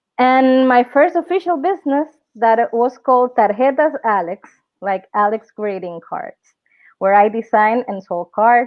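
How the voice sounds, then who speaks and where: Lively intonation with a Spanish accent, at a moderate pace. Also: woman. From Dominican Republic. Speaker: entrepreneur and workshop speaker. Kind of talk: online workshop presentation. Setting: live webinar. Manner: halting, frequent fillers and self-corrections.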